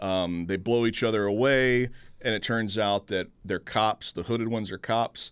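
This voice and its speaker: In a very clean recording with a silent background, a man with a normal speaking voice, a fairly low pitch and an American accent speaks at a moderate pace with fairly even intonation. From Houston, Texas. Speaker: film critic and sketch show producer. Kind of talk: casual chat.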